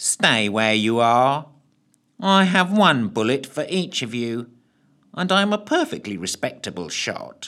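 Putting on a squeaky character voice at a fairly high pitch, a man swings his pitch very widely at a fairly slow pace in a very clean recording with a silent background. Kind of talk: comic villain. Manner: snide, tetchy, boring.

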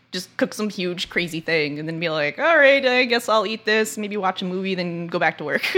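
The speech moves at a fairly quick pace with hardly any pauses. Noticeable background noise sits behind it. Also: woman, medium pitch for a woman, lively intonation. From Los Angeles, US West Coast. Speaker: game artist and developer. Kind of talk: casual chat.

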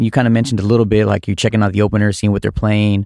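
In a very clean recording with a silent background, a man's voice sounds dry and close with no echo. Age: 30s. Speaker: podcast host and DJ. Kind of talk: casual interview. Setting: recording studio.

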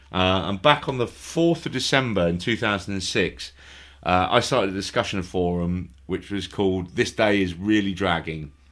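With ordinary pitch variation, this man speaks in a very deep, low register. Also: moderate pace, very clean recording, silent background. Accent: London. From London. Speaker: podcast host. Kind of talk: casual chat. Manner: halting.

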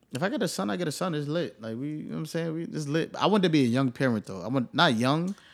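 In a New York accent, a man rattles along at a very fast pace with hardly any pauses, a fairly high pitch, and lively intonation. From New York, Staten Island. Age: 20s. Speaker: podcast host. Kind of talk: casual chat.

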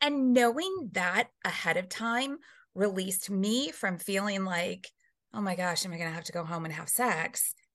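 A woman's medium-pitched, normal speaking voice, with lively intonation, a moderate pace and a quiet background. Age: 40s. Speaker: reverend and relationship guest. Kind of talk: casual chat.

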